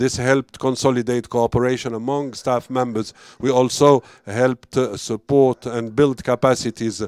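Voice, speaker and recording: A man speaks at a medium pitch. His intonation stays monotone and flat. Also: dry, close sound with no echo. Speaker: program director. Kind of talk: formal speech. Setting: conference event streamed online. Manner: halting.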